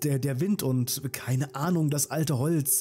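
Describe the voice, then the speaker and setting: With music in the background, a man talks at a fairly slow pace in a fairly high pitch with ordinary pitch variation. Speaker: storyteller narrator. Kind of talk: horror story narration. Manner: hushed, suspenseful, slow-paced; addresses listeners directly, friendly.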